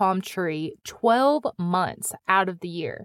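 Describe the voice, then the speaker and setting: A woman with a Midwestern US accent speaks at a very slow pace, her intonation lively. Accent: Midwestern US accent, noticeable. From US Midwest. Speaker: podcast host. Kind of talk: scripted narration.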